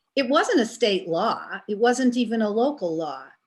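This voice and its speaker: A plain, everyday voice: a woman at a fairly high pitch, fairly slow pace and lively intonation, on a very clean recording with a silent background. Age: 60s. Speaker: class participant. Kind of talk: class discussion.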